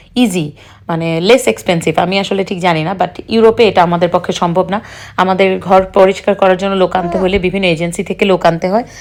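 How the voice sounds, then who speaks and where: With an ordinary speaking voice, a woman talks at a medium pitch with fairly even intonation. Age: 30s. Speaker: family vlogger. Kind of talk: vlog voice-over.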